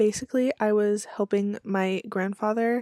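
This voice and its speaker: The recording of this woman is dry and close, with no echo. She speaks at a fairly slow pace and medium pitch. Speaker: YouTuber and trinket collector. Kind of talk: casual vlog talk.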